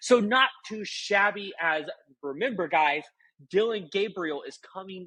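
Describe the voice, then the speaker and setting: A man speaks at a high pitch and a fairly slow pace, his pitch swinging very widely. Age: 20s. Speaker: college football YouTuber. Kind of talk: sports recap monologue. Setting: temporary home recording while dog sitting. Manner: casual, conversational.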